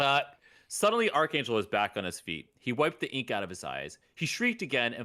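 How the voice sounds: The text is read in a natural reading voice.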